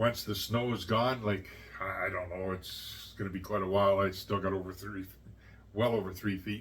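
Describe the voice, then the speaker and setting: A man speaks with a fairly low pitch and a bright, sharp tone. His intonation stays fairly even. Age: 60s. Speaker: YouTuber. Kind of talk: casual vlog talk. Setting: at home. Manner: halting.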